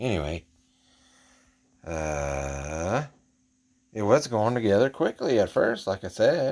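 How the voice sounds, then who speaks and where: This man talks at a very slow pace, with long, frequent pauses. His voice carries vocal fry. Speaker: model kit hobbyist YouTuber. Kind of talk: casual show-and-tell vlog. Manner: halting, with fillers; quiet, hushed.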